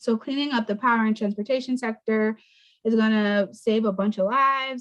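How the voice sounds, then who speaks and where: A woman talks in an unremarkable speaking voice with fairly even intonation. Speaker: environmental nonprofit communications manager. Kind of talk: presentation to students over video call. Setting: video call.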